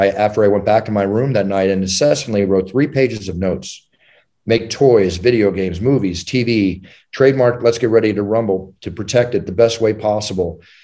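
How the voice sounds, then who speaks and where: A normal speaking voice with ordinary pitch variation moves at a fairly quick pace over a quiet background. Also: man, fairly low pitch for a man. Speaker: UFC ring announcer. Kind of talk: interview answer.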